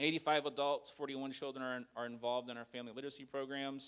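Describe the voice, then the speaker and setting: Delivering words at a fairly quick pace, a man talks in a monotone, flat manner at a medium pitch. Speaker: nonprofit church liaison. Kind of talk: presentation. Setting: church with audience. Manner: fast.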